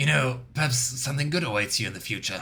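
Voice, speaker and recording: A raspy, put-on character voice from a man, medium in pitch and delivered at a very fast pace. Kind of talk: voiced game dialogue choices. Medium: solo performance. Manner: earnest, friendly.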